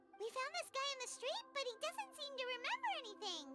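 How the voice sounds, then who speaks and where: Over clear background music, a squeaky put-on character voice at an extremely high pitch moves at a fairly quick pace. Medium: video game. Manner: excitable, blunt.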